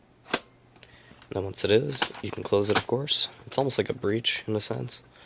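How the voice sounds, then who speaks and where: Lively intonation comes through at a moderate pace amid noticeable background noise. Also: man, medium pitch for a man. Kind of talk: product review talk to camera. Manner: casual, hesitant.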